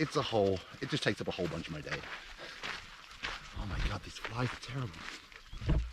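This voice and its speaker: Through noticeable background noise, a man talks at a fairly quick pace with very wide pitch swings and long, frequent pauses. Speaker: special forces veteran turned wildlife conservationist vlogger. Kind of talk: outdoor vlog. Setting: outdoors in the bush. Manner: loud and clear.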